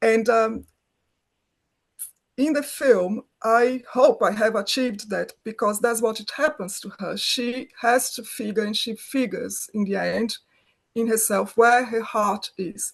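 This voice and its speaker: In a Brazilian accent, a woman speaks at a fairly slow pace. Her pitch is fairly high, and her intonation is fairly even. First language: Portuguese. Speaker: film director, writer, producer. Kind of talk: interview answer.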